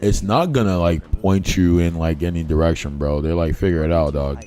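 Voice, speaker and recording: A man speaks in a very deep, low voice amid noticeable background noise. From Liberia, raised partly in Boston. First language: Liberian English. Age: 20s. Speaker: gaming streamer. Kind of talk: casual livestream chat while gaming.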